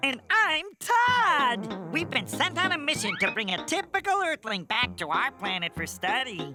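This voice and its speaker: A cartoonish character voice at a fairly high pitch runs on with hardly any pauses over clear music in the background. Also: moderate pace. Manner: sarcastic, snippy.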